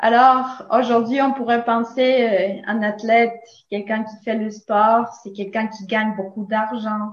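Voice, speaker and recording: With a slight Latin American accent, a woman at a fairly high pitch speaks very slowly in monotone, flat intonation, her loudness swinging widely. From Nicaragua. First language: Spanish (speaking French). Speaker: philosophy teacher. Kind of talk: interview.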